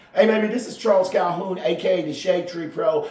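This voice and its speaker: A loud man talks at a fairly quick pace in a room with audible echo and noticeable background noise. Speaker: golf instructor and podcaster. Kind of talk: casual monologue podcast.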